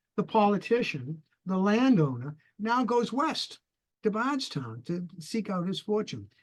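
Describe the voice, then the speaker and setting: A man with a New England accent speaks at a moderate pace in a high pitch, with very wide pitch swings. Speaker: retired history professor. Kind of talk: interview. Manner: halting.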